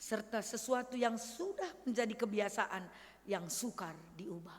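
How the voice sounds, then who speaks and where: With audible room echo, a woman talks at a fairly slow pace and a fairly high pitch, using ordinary pitch variation. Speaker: pastor. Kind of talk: sermon. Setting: church.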